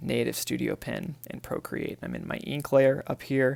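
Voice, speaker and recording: A man is speaking. His voice is soft-spoken. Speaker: artist. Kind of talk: tutorial. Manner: halting.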